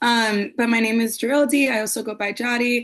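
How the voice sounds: Speaking with an American accent at a fairly quick pace, a woman has a fairly high pitch, fairly even intonation and a fairly bright tone.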